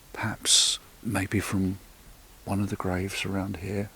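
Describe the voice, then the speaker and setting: Soft-spoken and fairly slow, with an English accent. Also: man. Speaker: paranormal investigator. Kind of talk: on-location investigation narration. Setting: outdoors in a churchyard at night. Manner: halting.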